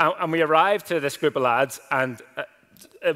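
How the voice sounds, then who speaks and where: A man with a Northern Irish accent talks at a moderate pace. His pitch sits fairly high. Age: 20s. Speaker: pastor. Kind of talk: sermon. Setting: church. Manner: casual.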